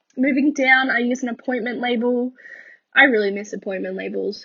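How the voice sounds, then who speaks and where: A woman with an Australian accent, at a moderate pace and with ordinary pitch variation. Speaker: planner YouTuber. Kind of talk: voiceover narration. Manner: casual, hesitant with ums.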